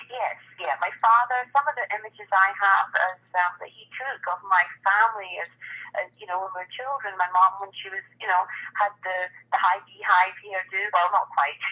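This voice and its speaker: Speaking with a Scottish accent at a moderate pace, a woman has a medium pitch, ordinary pitch variation, a bright, sharp tone and big swings in loudness. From Scotland. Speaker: wedding photographer. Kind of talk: interview. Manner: hesitant, many fillers.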